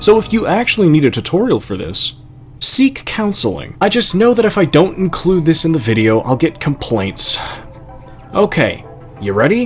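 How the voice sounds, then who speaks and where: Over music in the background, a man speaks in a high pitch with very wide pitch swings. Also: moderate pace. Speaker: gaming youtuber. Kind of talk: tutorial.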